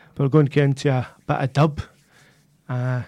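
A man speaks with a Glaswegian accent. His voice sits at a medium pitch. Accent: Glaswegian Scottish. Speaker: community radio DJ. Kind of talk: music radio presenting. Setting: radio studio.

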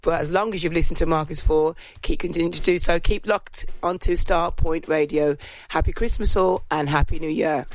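A woman talks fairly quickly in a normal speaking voice. Her pitch is fairly low and her intonation fairly even. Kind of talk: radio DJ patter: a warm, festive holiday greeting with thank-yous to listeners. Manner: cheery, warm and jolly, sprinkling in a playful "ho, ho, ho".

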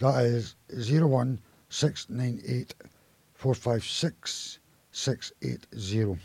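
A somewhat breathy man's medium-pitched voice at a very slow pace, with ordinary pitch variation and long, frequent pauses. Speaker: community radio presenter. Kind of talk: radio DJ patter, reading listings and phone numbers between songs. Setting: radio studio. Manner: repeats details slowly, sometimes stumbling and restarting.

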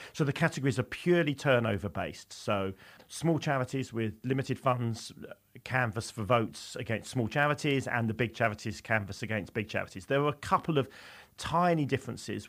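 A plain, everyday voice from a man at medium pitch, with ordinary pitch variation and a fairly quick pace, in a very clean recording with a silent background. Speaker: charity film awards co-founder. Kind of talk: radio interview.

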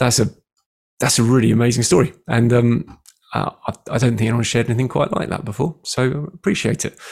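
A man with a British accent speaks at a fairly quick pace in a medium pitch. His voice is somewhat breathy, with ordinary pitch variation. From UK. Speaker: radio and podcast host. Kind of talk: interview.

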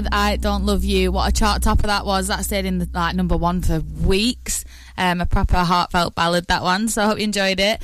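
A woman talks at a fairly quick pace with hardly any pauses. Music plays in the background. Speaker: radio presenter. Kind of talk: radio DJ patter, chatty and sunny, with friendly local asides. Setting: radio studio. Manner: warm, upbeat, enthusiastic, gushing about songs.

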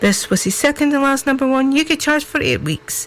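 Over noticeable background noise, a woman with a northeast Scottish accent speaks with very wide pitch swings. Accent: northeast Scots (Doric). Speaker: local radio presenter. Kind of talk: radio DJ patter, live music show presenting. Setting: live radio studio. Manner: chatty, rambling, filler-heavy with ums and uhs; warm, upbeat, folksy.

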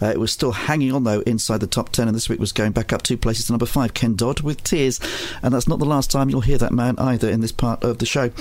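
A man at a very fast pace and a medium pitch, with ordinary pitch variation and very even loudness, over noticeable background noise. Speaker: radio host. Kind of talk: radio music show presenting, chart countdown. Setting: studio. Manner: relaxed, chatty, conversational.

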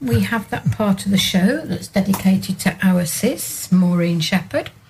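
At a fairly slow pace, a woman speaks in a medium pitch against noticeable background noise. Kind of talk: radio DJ patter, chatty song back-announcing between tracks.

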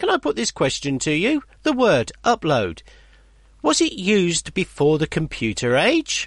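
A man speaks in an animated tone at a fairly slow pace, with a dry, close sound and no echo. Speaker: local radio presenter. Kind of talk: radio DJ patter: chatty, jokey presenter links between songs, reading listener emails. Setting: local radio studio. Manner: animated, chummy and bantering, laughing at his own jokes; relaxed, casual, with fillers and self-interruptions.

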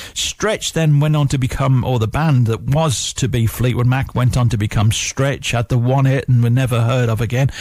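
Somewhat breathy, a man talks with fairly even intonation and very even loudness. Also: medium pitch for a man, moderate pace, hardly any pauses. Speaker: radio DJ. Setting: radio studio. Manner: warm, easygoing, nostalgic, conversational.

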